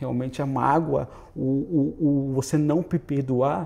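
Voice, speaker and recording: A man is speaking. His tone is dark and mellow. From Brazil, Santa Catarina. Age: young. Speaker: volunteer missionary. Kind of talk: interview testimony. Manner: halting, repeats words.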